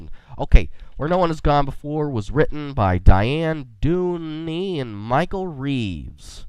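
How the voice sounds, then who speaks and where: A man speaks at a very slow pace. His pitch sits fairly high for a man. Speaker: podcast host. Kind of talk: casual podcast talk. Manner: quirky, enthusiastic.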